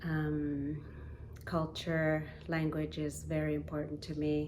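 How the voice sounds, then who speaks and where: In a Canadian Arctic accent, a woman speaks very slowly in a very deep, low voice with monotone, flat intonation, and the room echo is audible. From Nunavik, northern Quebec. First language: Inuktitut. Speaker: singer. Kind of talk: spoken introduction to performance. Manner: halting, many fillers.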